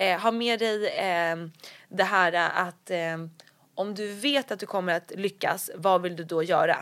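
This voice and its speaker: A woman at a medium pitch, speaking very slowly with ordinary pitch variation, in a very clean recording with a silent background. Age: 20s. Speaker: blogger and entrepreneur. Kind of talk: interview about recovery and career.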